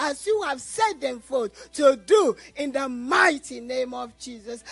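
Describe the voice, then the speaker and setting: Over noticeable background noise, the words unfold very slowly. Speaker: church member. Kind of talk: spontaneous prayer. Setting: church.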